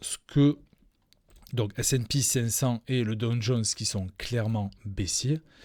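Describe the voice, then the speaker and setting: In a very clean recording with a silent background, a somewhat breathy voice speaks at a very slow pace with fairly even intonation. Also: man. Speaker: crypto trading educator. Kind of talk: live stream chart analysis. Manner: hesitant, many fillers.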